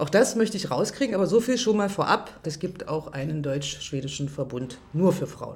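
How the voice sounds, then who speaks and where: Over noticeable background noise, a woman with a fairly low pitch speaks at a moderate pace using very wide pitch swings. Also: hardly any pauses. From Germany. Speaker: radio journalist, interviewer. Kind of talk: interview. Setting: restaurant.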